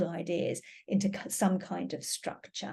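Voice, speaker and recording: With a British accent, a woman speaks in a somewhat breathy voice. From Britain. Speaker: teacher. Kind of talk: webinar lecture. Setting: online webinar.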